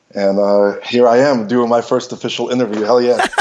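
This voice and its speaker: Speaking at a moderate pace with an American accent, this man has a medium-pitched voice and a monotone, flat delivery. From Belarus, raised in Los Angeles. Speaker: fight coordinator and filmmaker. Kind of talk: interview.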